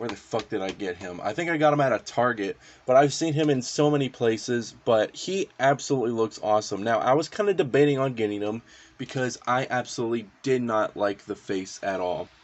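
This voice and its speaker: Noticeable noise sits behind this recording. A man speaks at a medium pitch and moderate pace, with lively intonation. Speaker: toy collector YouTuber. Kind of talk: casual product review. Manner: halting, many fillers.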